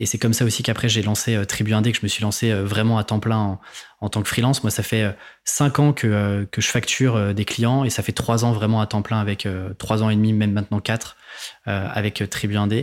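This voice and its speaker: A man's fairly low voice, monotone and flat, at a moderate pace and very even loudness, on a very clean recording with a silent background. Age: 20s. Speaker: freelancing podcaster and author. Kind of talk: casual interview.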